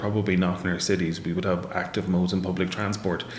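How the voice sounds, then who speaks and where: Very deep and low, a man's voice in an Irish accent runs at a very fast pace with monotone, flat intonation and audible room echo. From Ireland, Waterford. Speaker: professor. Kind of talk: interview.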